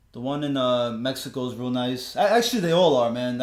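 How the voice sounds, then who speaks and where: Very fast speech in a Spanish accent with ordinary pitch variation. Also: man. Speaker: sports podcast host. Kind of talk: casual chat.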